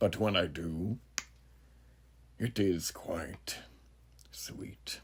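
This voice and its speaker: Using a put-on character voice, a man speaks very slowly at a very deep, low pitch, leaving long, frequent pauses. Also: ordinary pitch variation. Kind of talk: horror monologue. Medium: audio drama. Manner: measured, florid and philosophical, punctuated by chuckles.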